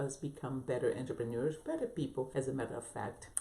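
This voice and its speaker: Talking at a fairly quick pace, a woman with a non-native accent uses lively intonation. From abroad, non-English-speaking country. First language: not English. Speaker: business coach and entrepreneur. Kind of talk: motivational vlog talk. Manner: halting, with restarts and fillers.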